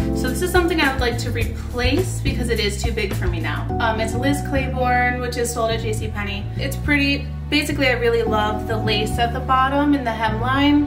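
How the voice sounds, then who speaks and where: A woman speaks at a moderate pace. Music is clearly heard behind her. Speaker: lifestyle vlogger. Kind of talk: casual vlog chat. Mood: cheerful, chatty. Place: home room. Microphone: camera far.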